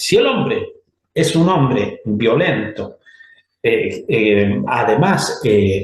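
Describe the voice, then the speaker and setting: A man speaks at a very slow pace with very even loudness. Audible room echo surrounds his voice. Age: 60s. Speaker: church teacher. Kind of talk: lecture.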